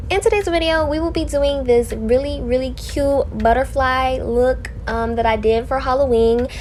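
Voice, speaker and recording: With an animated tone and hardly any pauses, a woman speaks over noticeable background noise and audible room echo. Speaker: beauty vlogger. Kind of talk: makeup tutorial. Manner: fast.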